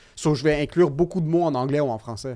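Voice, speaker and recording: With a quiet background, a man speaks at a fairly high pitch in a dark, mellow tone with ordinary pitch variation. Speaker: comedian. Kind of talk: casual chat. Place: studio. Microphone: studio mic.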